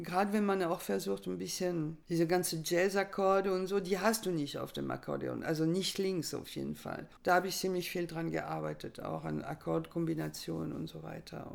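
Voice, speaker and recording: A woman with a French accent talks at a moderate pace. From France. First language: French (speaking German). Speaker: accordionist. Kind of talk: interview.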